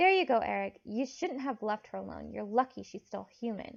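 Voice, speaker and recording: Moderate pace in a put-on character voice from a woman. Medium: read story. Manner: blunt.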